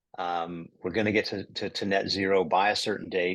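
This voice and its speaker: At a moderate pace, a man with an American accent speaks in an unremarkable speaking voice, fairly low in pitch, over a quiet background. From United States. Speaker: climate investor. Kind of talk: interview.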